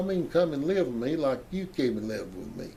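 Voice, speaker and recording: With a Southern US accent, a man talks at a fairly quick pace. His pitch swings very widely, and the room echo is audible. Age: 80s+. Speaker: family history storyteller. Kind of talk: oral history testimony. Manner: halting.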